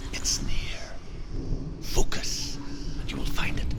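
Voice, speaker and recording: A man whispers at a fairly slow pace in a put-on character voice, with loud noise in the background. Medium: game stream. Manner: measured, solemn.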